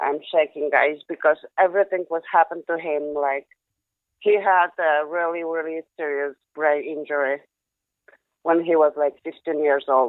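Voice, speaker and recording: Someone speaks at a moderate pace with a Polish accent. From Poland. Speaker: caller. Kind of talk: phone call to a live show.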